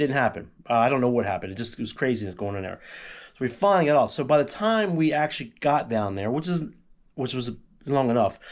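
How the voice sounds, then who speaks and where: At a very fast pace, a man with a medium pitch and lively intonation speaks on a very clean recording with a silent background. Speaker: travel vlogger. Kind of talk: casual chat. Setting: at home.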